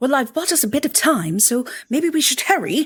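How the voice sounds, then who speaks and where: Someone puts on a high-pitched character voice. The delivery runs at a fairly quick pace. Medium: actual play. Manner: casual, slightly unsure.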